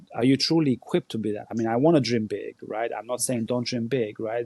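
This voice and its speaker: A man with an Albanian accent, a medium pitch and a dark, mellow tone at a fairly quick pace, in a dry, close sound with no echo. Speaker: former Olympic volleyball player and coach. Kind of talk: podcast interview. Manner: animated.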